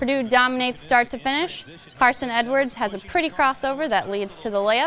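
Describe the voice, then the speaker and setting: A woman talks very fast in a high voice with lively intonation. There is noticeable background noise. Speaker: sports broadcaster, student. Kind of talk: play-by-play highlight narration.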